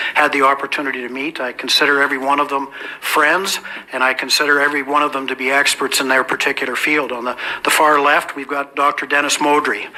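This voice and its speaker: Noticeable background noise sits behind a man who speaks at a very fast pace with a fairly high pitch. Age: 60s. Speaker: event moderator. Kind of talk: public speech introducing a panel. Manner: hesitant, repeating words.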